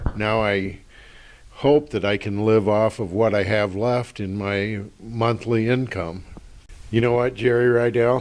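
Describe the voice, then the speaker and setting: A man at a fairly low pitch, with a fairly slow pace and fairly even intonation. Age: 60s. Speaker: retiree, fraud victim. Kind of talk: testimony.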